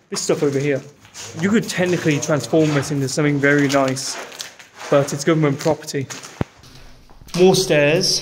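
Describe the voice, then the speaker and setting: With fairly even intonation and long, frequent pauses, a man talks over noticeable background noise. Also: moderate pace. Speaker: vlogger exploring. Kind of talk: casual vlog chat. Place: hall. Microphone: phone near.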